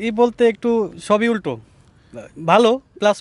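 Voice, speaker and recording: The sound of this man's speech is dry and close, without any echo. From Bangladesh, Manikganj. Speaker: embassy chef. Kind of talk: interview.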